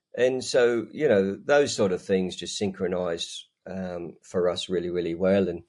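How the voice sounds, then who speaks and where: Over a quiet background, a man talks with a very deep, low pitch and an Australian accent. His tone is dark and mellow. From Australia, Newcastle NSW. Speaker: ministry leader. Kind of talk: casual interview. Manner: hesitant, many fillers.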